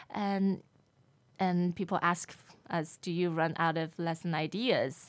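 In a Chinese accent, a woman with a fairly low pitch speaks very slowly with fairly even intonation and long, frequent pauses on a very clean recording with a silent background. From Shanghai, China. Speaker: language lesson presenter and entrepreneur. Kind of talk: interview.

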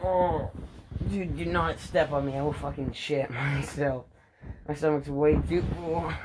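Noticeable background noise runs behind a man's fairly high voice. He speaks at a fairly slow pace with lively intonation. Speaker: podcast co-host. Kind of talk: casual chat.

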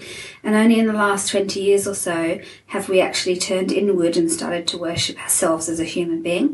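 Noticeable background noise surrounds a woman speaking fairly quickly at a medium pitch. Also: ordinary pitch variation. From England. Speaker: life coach and motivational speaker. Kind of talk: interview.

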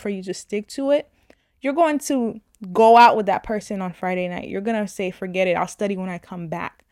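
This woman has an unremarkable speaking voice at medium pitch, talking at a moderate pace. The sound is dry and close with no echo, on a very clean recording with a silent background. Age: 20s. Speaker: podcast host. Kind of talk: casual monologue.

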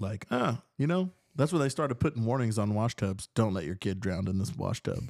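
A man with an ordinary speaking voice, medium pitch, lively intonation and a fairly quick pace, the sound dry and close with no echo. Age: 20s. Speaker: musician in a band. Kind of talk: casual chat. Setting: host's apartment.

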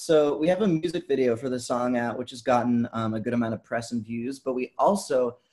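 A plain, everyday voice from a man, medium-pitched, with an American accent, ordinary pitch variation and a moderate pace. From Vermont, US. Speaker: musician. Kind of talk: casual interview.

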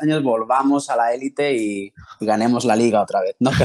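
With a plain, everyday voice, a man talks at a moderate pace and a medium pitch. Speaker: interview guest. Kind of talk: casual interview.

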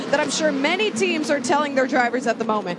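A woman with a high pitch speaks amid noticeable background noise. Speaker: pit reporter. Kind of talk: live pit reporting.

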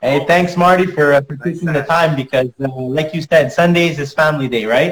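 A man with an ordinary speaking voice talks at a moderate pace, hardly pausing. His pitch is fairly high and his intonation fairly even. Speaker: podcast host. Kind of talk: interview. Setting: video call.

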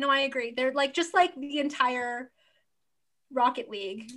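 In a very clean recording with a silent background, a woman speaks at a high pitch. Her tone is bright and sharp, and her pace moderate. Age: 20s. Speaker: podcast co-host. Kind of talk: casual chat.

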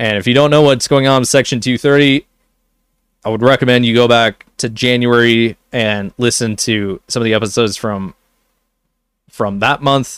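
This man's intonation is fairly even, his pitch medium and his pace moderate, in an ordinary speaking voice. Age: 20s. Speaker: gaming news podcast host. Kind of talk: solo news commentary. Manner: casual, conversational.

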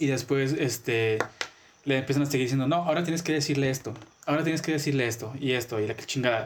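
A man speaks very fast at a medium pitch, keeping his loudness very even and his intonation fairly even. Noticeable background noise runs underneath. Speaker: podcast co-host. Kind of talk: casual chat.

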